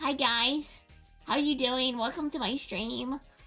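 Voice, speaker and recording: Over faint background music, a squeaky, female-sounding put-on character voice speaks at a fairly slow pace with a high pitch. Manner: chipper greeting.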